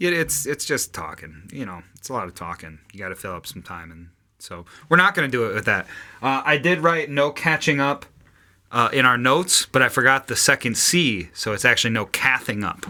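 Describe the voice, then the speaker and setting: In a very clean recording with a silent background, a man speaks at a fairly quick pace with a medium pitch and vocal fry. His bright, sharp tone swings very widely in pitch and greatly in loudness. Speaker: podcast co-host and band singer. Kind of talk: casual chat.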